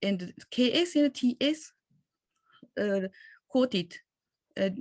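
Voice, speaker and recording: A woman's very slow, somewhat breathy voice with very wide pitch swings. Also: dry, close sound with no echo. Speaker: conference presenter on Vedic texts. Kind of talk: academic conference talk. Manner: hesitant, many fillers.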